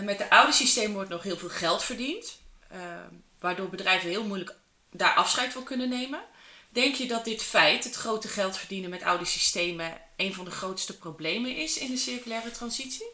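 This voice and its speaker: Lively intonation and big swings in loudness mark this moderately paced speech, heard with audible room echo and noticeable background noise. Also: woman, fairly high pitch for a woman. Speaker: podcast host. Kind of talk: interview.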